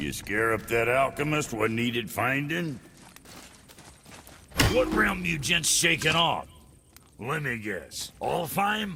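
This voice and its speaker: A man's raspy, put-on character voice at medium pitch, fairly slow, with long, frequent pauses. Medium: video game. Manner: drawling, folksy, crude.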